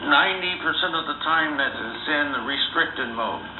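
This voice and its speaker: Background noise is noticeable, and room echo can be heard. A man speaks at a moderate pace. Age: 60s. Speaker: diabetes patient. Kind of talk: casual chat. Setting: phone call.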